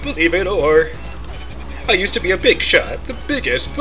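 A man puts on a character voice that sounds strained. He goes at a moderate pace over clear background noise. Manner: strained, hawking.

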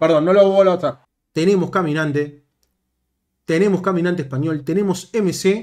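A man with a Rioplatense accent speaks at a high pitch in an animated tone and a moderate pace, leaving long, frequent pauses. The background is quiet. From Argentina. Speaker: gaming youtuber. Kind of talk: gameplay commentary. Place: home room.

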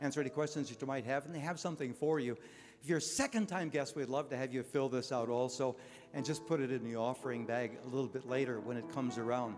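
Clear music plays behind a man talking at a very fast pace with ordinary pitch variation. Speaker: pastor. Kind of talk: church announcements. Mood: warm, friendly. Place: church. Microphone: handheld.

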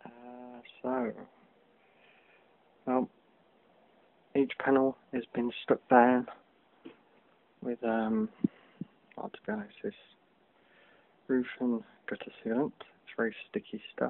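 A man speaks quietly at a very slow pace, his loudness swinging widely, with long, frequent pauses. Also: fairly even intonation. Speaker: DIY hobbyist. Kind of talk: tutorial; casual tutorial. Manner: hesitant, many fillers. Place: home room. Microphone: phone near.

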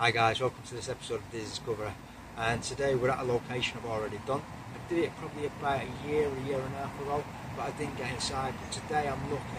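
A man talks at a very fast pace in a dry recording with no echo, though background noise is noticeable. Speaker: urban explorer vlogger. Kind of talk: casual vlog intro. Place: open country.

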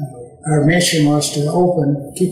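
A man speaks with an East Tennessee accent, his pitch fairly high and his pace fairly slow. His intonation stays monotone and flat, with audible room echo over a quiet background. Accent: Southern US (East Tennessee). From Tennessee, USA. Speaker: WWII veteran. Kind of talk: interview answer. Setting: indoor room with slight echo.

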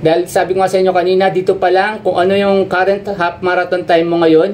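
A man speaks at a high pitch. There is light background noise. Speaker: running coach or runner. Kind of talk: presentation talk over slides. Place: home room. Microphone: webcam.

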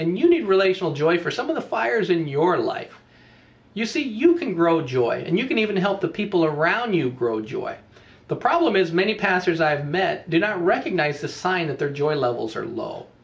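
Very wide pitch swings run through speech at a moderate pace. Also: man. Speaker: pastor coach. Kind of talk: teaching talk with a story. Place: home room. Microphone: webcam.

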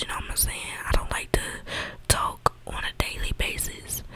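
Whispering at a moderate pace, the voice has a relaxed tone. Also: woman. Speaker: ASMR creator. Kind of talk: casual rambling. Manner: relaxed, informal slang. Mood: mildly annoyed, candid. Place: home room. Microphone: studio mic.

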